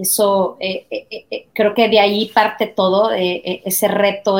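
Here a woman talks at a medium pitch. Her intonation is monotone and flat. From Mexico. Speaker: marketing and advertising executive. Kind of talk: interview.

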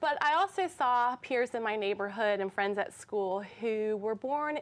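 A woman's fairly high voice with lively intonation and an American accent, an unremarkable speaking voice, on a very clean recording with a silent background. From North Carolina, Durham. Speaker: teacher. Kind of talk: interview. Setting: studio.

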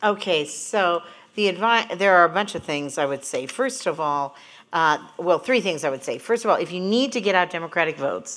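A woman with a normal speaking voice and an American accent speaks at a fairly quick pace, her fairly low pitch carried by lively intonation. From Montana. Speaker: pollster and political strategist. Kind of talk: panel discussion. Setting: stage with live audience.

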